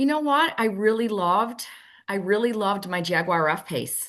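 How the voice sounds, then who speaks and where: A woman speaks in a normal speaking voice at medium pitch. Her intonation is lively and her pace moderate. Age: 60s. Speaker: auto industry sales expert. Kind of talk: podcast interview.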